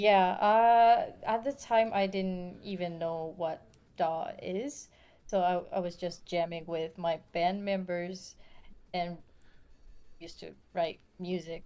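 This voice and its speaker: With a non-native accent, a woman speaks at a very slow pace and medium pitch, her tone dark and mellow, her intonation fairly even, and her loudness swinging widely. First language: not English. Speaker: music artist. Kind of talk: interview. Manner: halting.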